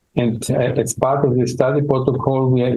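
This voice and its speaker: A man with an Austrian accent at a moderate pace, medium in pitch, with monotone, flat intonation. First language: German. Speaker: dermatology professor. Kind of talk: interview. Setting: medical conference. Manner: halting, many fillers and repeats.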